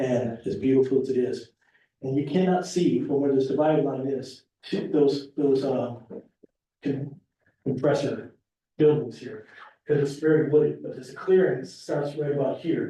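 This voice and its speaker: Somewhat breathy and dark, mellow in tone, a man with a fairly high pitch speaks at a moderate pace with ordinary pitch variation and long, frequent pauses, amid audible room echo. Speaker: property developer applicant. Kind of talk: public meeting presentation. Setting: town board meeting. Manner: gets softer the longer he talks; halting, repetitive.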